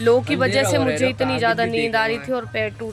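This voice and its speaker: A woman speaks at a moderate pace, her pitch swinging very widely. Music plays in the background. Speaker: vlogger. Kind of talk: casual vlog talk.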